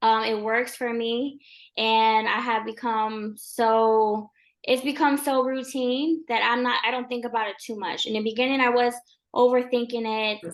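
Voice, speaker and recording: Over a quiet background, a woman speaks at a moderate pace with a high pitch and monotone, flat intonation. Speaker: real estate agent. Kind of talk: interview. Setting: livestream.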